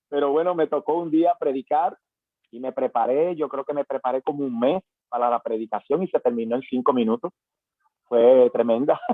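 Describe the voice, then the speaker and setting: A man at a fairly high pitch and moderate pace, with ordinary pitch variation and music in the background. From Panama. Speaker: pastor. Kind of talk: testimony. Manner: halting, many fillers.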